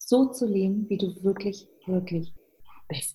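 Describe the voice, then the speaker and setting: Somewhat breathy and dark and mellow in tone, a woman speaks at a very slow pace with ordinary pitch variation. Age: 50s. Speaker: entrepreneur and coach. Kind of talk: interview.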